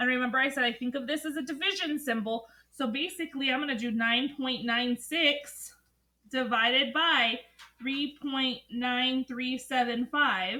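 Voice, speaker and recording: A woman projects her high voice, raising it to carry. She keeps a moderate pace and fairly even intonation. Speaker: math teacher. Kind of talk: tutorial lesson. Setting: recorded alone, no students present.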